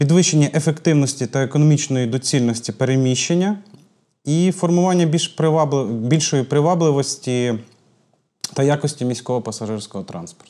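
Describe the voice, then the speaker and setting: A man speaks at a moderate pace in a dark, mellow tone, his pitch varying in an ordinary way over a quiet background. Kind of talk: interview answer. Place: studio. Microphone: lapel.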